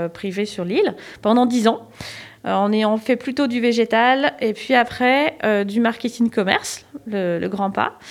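In an ordinary speaking voice, a woman speaks at a fairly slow pace and a fairly high pitch with ordinary pitch variation. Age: 40s. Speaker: organic cut-flower grower. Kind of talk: casual interview.

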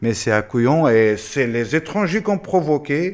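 A man talks with lively intonation. Behind him the background is silent, and the recording is very clean. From Afghanistan, Nangarhar. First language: Pashto (speaking French). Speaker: former military interpreter. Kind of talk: interview testimony.

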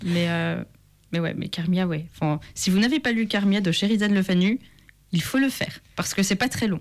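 A woman speaks in an ordinary speaking voice at a moderate pace. Her pitch is medium. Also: ordinary pitch variation. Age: 20s. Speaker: author. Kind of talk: interview.

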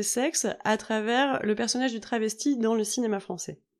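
This is a woman speaking. Her pitch is high. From Normandy, France. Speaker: yoga teacher and podcast host. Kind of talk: solo podcast monologue. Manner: casual with frequent hesitations.

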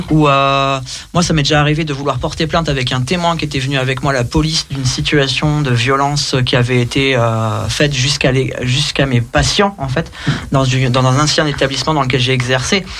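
A fairly high-pitched man talks with fairly even intonation against noticeable background noise. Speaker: radio show co-host. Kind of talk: casual chat. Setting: studio.

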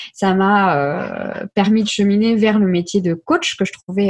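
A woman's somewhat breathy voice moves at a fairly slow pace. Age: 20s. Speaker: life coach. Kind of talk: interview.

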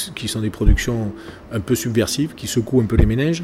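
A man talking very fast at medium pitch, with noticeable background noise. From southern France (Gard, Languedoc). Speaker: politician. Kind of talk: interview. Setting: café.

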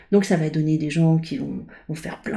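The voice is somewhat breathy with a dark, mellow tone, moving at a fairly slow pace. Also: woman. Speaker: coach and painter. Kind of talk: interview conversation. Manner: halting, frequent repetitions and fillers.

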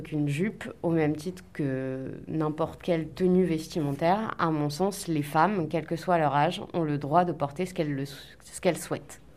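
A woman with a normal speaking voice talks at a fairly low pitch and a moderate pace. Her intonation is fairly even, with hardly any pauses. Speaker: school staff member. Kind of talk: interview answer, considered. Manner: measured, formal.

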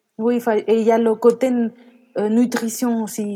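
Very cleanly recorded against a silent background, a woman speaks with a dark, mellow tone. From France and Mexico. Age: 30s. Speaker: career change coach and mother. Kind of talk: testimony.

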